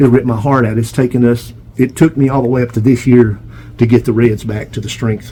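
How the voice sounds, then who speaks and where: Against noticeable background noise, a man with an American accent talks very fast with fairly even intonation. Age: 70s. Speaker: pigeon breeder. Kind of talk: casual video tour monologue. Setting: pigeon loft feed room.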